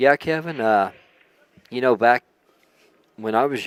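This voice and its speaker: In an Oklahoma accent, the voice moves at a moderate pace with a dry, close sound and no echo. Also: man. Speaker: guest commentator. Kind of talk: casual chat. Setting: live stream.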